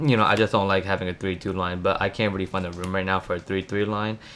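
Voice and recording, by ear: This voice has a clear, smooth tone and little pitch movement. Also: man.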